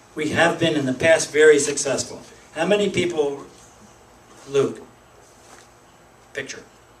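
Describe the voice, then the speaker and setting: Over noticeable background noise, a man with an American accent and a fairly high pitch talks at a moderate pace with ordinary pitch variation and long, frequent pauses. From Pennsylvania. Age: 60s. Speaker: political activist. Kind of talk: speech to a meeting. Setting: meeting room with audience. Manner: halting.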